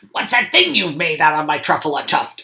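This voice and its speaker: A raspy, put-on character voice at a middle pitch and a fairly quick pace. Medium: read story. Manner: bossy, scolding.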